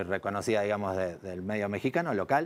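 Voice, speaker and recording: A man speaks with an Argentine accent. He talks at a very fast pace. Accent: Argentine accent, kept. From Argentina. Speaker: advertising executive. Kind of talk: TV talk show interview.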